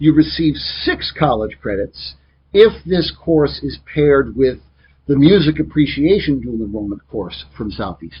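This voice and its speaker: Somewhat breathy, a man speaks at a fairly high pitch. His voice shows very wide pitch swings and big swings in loudness. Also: fairly slow pace. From US Midwest, Joliet, Illinois. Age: 40s. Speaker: teacher. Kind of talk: lecture.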